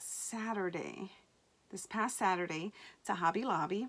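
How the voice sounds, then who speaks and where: The pace is very slow. A woman speaks at a medium pitch. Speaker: cross-stitch vlogger. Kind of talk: casual chat. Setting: basement at home.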